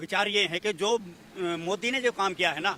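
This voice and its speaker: Against noticeable background noise, a man uses a raised, projected voice at a high pitch with ordinary pitch variation. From Haryana. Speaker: comic poet. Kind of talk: street interview answer.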